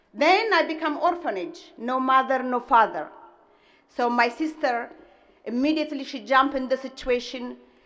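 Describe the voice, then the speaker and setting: A woman's high-pitched voice in a strong Ethiopian accent, with ordinary pitch variation and audible room echo. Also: moderate pace. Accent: heavy Ethiopian. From Ethiopia (Gojam). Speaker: restaurant owner, commencement speaker. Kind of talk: commencement speech. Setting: stage with audience.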